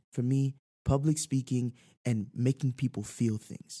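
A man's somewhat breathy voice with a dark, mellow tone, medium pitch and fairly even intonation at a moderate pace, dry and close with no echo on a very clean recording with a silent background. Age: 20s. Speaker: saxophonist. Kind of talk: casual chat.

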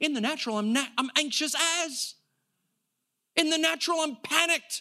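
Extremely high, raised and projected male voice with an American accent, an animated tone and ordinary pitch variation. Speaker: pastor. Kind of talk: sermon. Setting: church.

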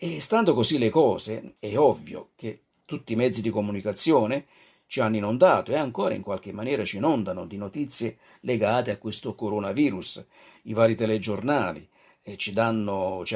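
Fairly low in pitch, a man talks at a fairly quick pace with big swings in loudness, captured in a very clean recording with a silent background. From Naples, southern Italy. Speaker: radio preacher. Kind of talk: devotional radio talk. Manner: halting.

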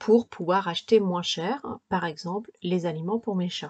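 The voice is somewhat breathy and fairly slow, with ordinary pitch variation and a dry, close sound with no echo. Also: woman. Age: 40s. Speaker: podcaster and lifestyle blogger. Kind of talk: solo podcast monologue giving practical advice. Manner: casual with frequent hesitations.

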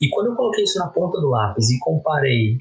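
Fairly quick speech from a man, music playing behind him. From Brazil. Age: 30s. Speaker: economist and English teacher. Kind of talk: casual chat. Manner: quiet, subdued voice.

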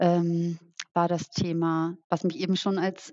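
This woman's voice sits fairly low in pitch. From rural Germany. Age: 30s. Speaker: social entrepreneur. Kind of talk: interview.

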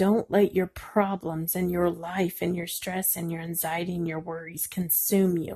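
Quiet and somewhat breathy, the voice has a dark, mellow tone and a flat monotone. It moves very slowly, with a dry, close sound and no echo. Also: woman. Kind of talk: devotional encouragement talk. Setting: at home at night. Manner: speaking quietly.

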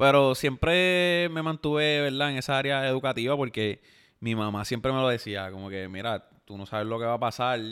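With a plain, everyday voice, a man speaks at a moderate pace with ordinary pitch variation and hardly any pauses. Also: medium pitch for a man. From Puerto Rico, Yauco. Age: 20s. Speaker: content creator. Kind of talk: casual chat.

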